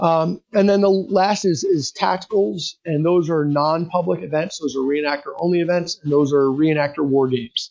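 With a plain, everyday voice, a man talks at a moderate pace and fairly high pitch, showing ordinary pitch variation, very even loudness and hardly any pauses in a dry, close sound with no echo. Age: 40s. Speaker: reenactor and unit historian. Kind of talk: casual interview.

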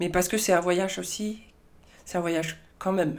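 At a moderate pace, a woman talks with a fairly low pitch, and audible room echo can be heard. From southern France, Marseille. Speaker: film director. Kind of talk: interview.

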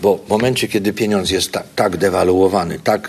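This is a man speaking. He keeps a moderate pace. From southern Poland, Zakopane and Kraków. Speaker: investor and business educator. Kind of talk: interview. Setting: conference venue.

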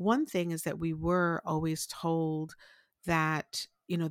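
Very deep, low pitch from a woman in a New York accent, monotone and flat, at a very slow pace, with a dry, close sound with no echo and a very clean recording with a silent background. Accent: New York American. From Brooklyn, New York. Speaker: life strategist. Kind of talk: interview.

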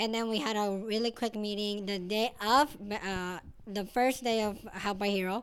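The woman speaks with a Mexican accent. Her intonation is fairly even. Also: medium pitch for a woman, moderate pace. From Mexico, Sinaloa. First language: Spanish. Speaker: hair salon manager. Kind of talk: casual interview.

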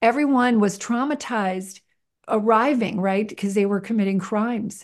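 Fairly high pitch and ordinary pitch variation from a woman with an unremarkable speaking voice. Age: 60s. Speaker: nonprofit founder and filmmaker. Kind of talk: interview.

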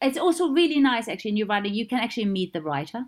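This is a woman with a German accent. Her pitch sits fairly high. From East Germany. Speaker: theatre designer. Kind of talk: interview. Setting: remote recording during lockdown.

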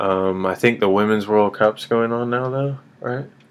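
A man with a Midwestern accent speaks in a monotone, flat intonation against noticeable background noise. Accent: General American (Midwest). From US Midwest, Kansas City. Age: 30s. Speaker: podcast host. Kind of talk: casual chat.

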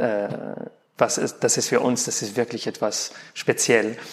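Speaking in a monotone, flat intonation, a man talks with a non-native accent. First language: not German (speaking German). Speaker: opera tenor. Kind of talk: interview. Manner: halting.

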